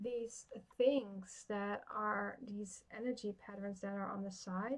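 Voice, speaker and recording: Speaking very slowly with a Dutch accent, a woman keeps a medium pitch and fairly even intonation. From Netherlands. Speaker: tarot reader. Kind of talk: live-stream card reading. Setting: live stream. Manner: halting.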